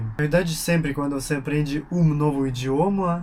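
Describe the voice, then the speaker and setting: With a Russian accent, a man speaks at a moderate pace in a fairly high pitch. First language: Russian (speaking Portuguese). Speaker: YouTuber, language learner. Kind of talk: casual vlog monologue. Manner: halting, with pauses to think.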